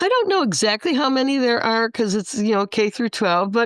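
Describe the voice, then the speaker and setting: A woman's fairly high voice makes very wide pitch swings in a dry, close sound with no echo. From Chicago. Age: 70s. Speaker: history teacher. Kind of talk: interview answer.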